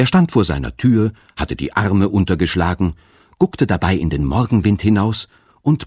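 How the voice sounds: Lively intonation carries a natural reading voice from start to finish.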